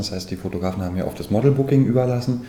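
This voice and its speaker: A man's ordinary pitch variation is heard amid audible echo from the room. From Saxony-Anhalt, Germany. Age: 30s. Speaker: manor house owner and make-up artist. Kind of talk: guided house tour and interview.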